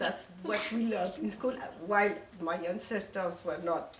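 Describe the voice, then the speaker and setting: Over noticeable background noise and audible room echo, a woman speaks with lively intonation in a strong French accent. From Morocco, Casablanca. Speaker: speaker on her life story. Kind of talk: informal talk to a group. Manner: halting, many fillers.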